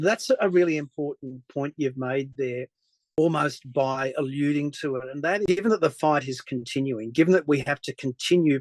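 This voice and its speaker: Against a quiet background, a man speaks at a moderate pace with an Australian accent. The sound is dry and close, with no echo. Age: 60s. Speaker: journalist. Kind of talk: interview conversation.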